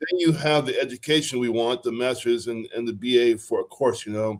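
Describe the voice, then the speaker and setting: A man is speaking. His intonation is lively. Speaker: career coach. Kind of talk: coaching session. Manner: fast; animated.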